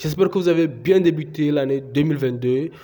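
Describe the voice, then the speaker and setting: Speaking at a fairly quick pace, a man uses ordinary pitch variation in a dark, mellow tone. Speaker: YouTuber, crypto tutorial creator. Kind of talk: tutorial. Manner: hesitant, many filler sounds.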